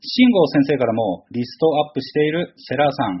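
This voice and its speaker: Somewhat breathy, a man speaks at a moderate pace and a fairly high pitch. His pitch swings very widely. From Kanagawa, Chigasaki. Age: 40s. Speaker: podcast host. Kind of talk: casual solo monologue.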